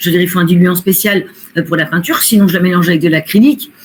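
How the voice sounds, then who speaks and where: A woman speaks in a somewhat breathy voice. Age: 60s. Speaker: medium and painter. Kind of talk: interview.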